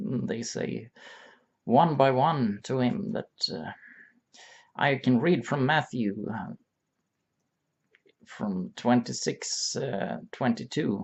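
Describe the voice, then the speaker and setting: Very slowly and with long, frequent pauses, a man with a Swedish accent speaks at a medium pitch, his voice showing vocal fry and very wide pitch swings. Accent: Swedish accent, self-described bad English. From Sweden. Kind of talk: religious reflection monologue. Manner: halting, many fillers.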